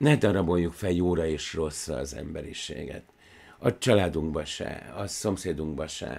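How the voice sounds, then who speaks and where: At a fairly slow pace, a man speaks with a very deep, low pitch, vocal fry and ordinary pitch variation. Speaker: film analysis show host. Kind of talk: monologue commentary. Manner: animated; tense, almost angry. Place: office. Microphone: studio mic.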